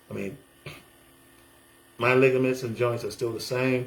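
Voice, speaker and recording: Somewhat breathy, a man of medium pitch speaks with an American accent amid audible room echo. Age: 60s. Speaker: military veteran and pastor. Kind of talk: casual testimonial video monologue. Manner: animated.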